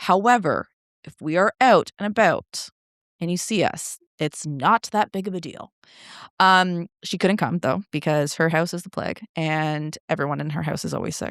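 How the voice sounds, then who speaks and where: A woman with a Canadian accent speaks in an ordinary speaking voice at a moderate pace and fairly low pitch, with ordinary pitch variation and big swings in loudness, the sound dry and close with no echo on a very clean recording with a silent background. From Canada. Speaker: content creator, podcaster. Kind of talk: casual chat, voice-note podcast. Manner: casual, filler-heavy.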